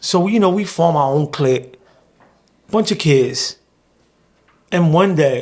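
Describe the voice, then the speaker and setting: Here a man speaks at a high pitch with a New York accent. His pace is fairly slow, with long, frequent pauses. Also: ordinary pitch variation. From New York, South Bronx. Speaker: formerly incarcerated journalist. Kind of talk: interview storytelling.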